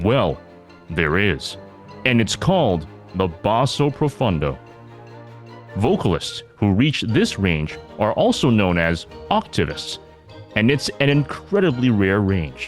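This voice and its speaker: A man's fairly low voice at a fairly slow pace, with very wide pitch swings, very even loudness, long and frequent pauses, and music in the background. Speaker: podcast host. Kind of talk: documentary-style introduction narration.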